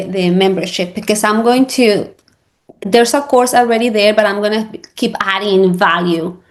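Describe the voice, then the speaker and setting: At a moderate pace, a woman with a Spanish accent talks at a medium pitch with ordinary pitch variation. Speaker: real estate agent and social media coach. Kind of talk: interview. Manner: halting.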